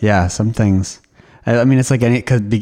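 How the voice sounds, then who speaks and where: His intonation stays fairly even. It is a man talking. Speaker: church podcast co-host interviewer. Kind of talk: interview conversation.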